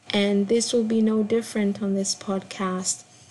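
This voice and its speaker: With noticeable background noise behind her, a woman speaks at a fairly slow pace in a medium pitch, her intonation monotone and flat. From Kenya. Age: 20s. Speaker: podcast host and performance artist. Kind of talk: casual solo intro monologue. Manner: hesitant, many fillers.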